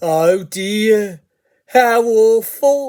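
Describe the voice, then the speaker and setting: A put-on character voice, female-sounding and fairly high in pitch. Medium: read story. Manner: overly sweet, charming.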